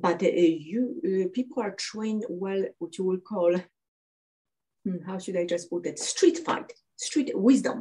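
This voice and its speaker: A woman speaks fairly slowly at medium pitch in a dark, mellow tone. Her voice is somewhat breathy, with lively intonation. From Poland. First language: Polish. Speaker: cardiologist and martial artist. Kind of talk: interview. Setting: podcast. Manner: halting, many fillers.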